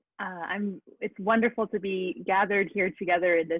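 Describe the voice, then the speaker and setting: This is a woman speaking at a medium pitch. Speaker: moderator and tech support. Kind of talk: online meeting moderation. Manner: fast; animated.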